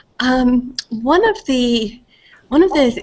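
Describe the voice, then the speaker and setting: Her pitch moves up and down in an ordinary way as the woman talks. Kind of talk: meeting self-introduction. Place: home room. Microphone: headset.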